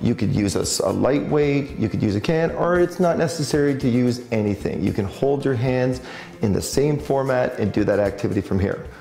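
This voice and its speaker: Faint music sits in the background and room echo is audible. A man talks at a fairly quick pace. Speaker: fitness instructor. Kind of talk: tutorial. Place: gym.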